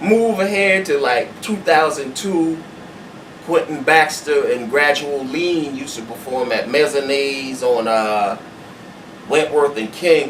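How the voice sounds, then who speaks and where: Fairly high-pitched man with an American accent, fairly slow pace and ordinary pitch variation, over noticeable background noise. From Charleston, South Carolina. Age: old. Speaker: spoken word poet. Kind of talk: interview answer. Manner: casual, hesitant.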